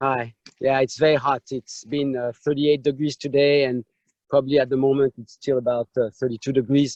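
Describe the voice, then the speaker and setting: A man with a French accent speaks at a medium pitch and a fairly quick pace in a monotone, flat intonation. The sound is dry and close, with no echo. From France, Saint-Emilion. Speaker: winemaker. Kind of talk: vineyard tour presentation. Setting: video call, outdoors in vineyard.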